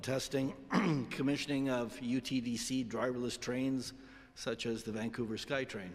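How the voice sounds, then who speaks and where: A man's medium-pitched voice at a moderate pace, flat and monotone in intonation. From Toronto, Canada. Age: 60s. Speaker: retired engineer. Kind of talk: self-introduction speech.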